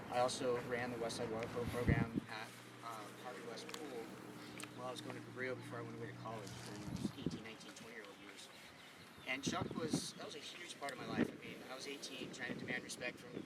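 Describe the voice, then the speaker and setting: A man talks at a very fast pace with medium pitch, fairly even intonation, and big swings in loudness. Audible room echo and noticeable background noise surround him. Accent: American. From California, Santa Cruz. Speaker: eulogy speaker. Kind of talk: eulogy at memorial paddle out.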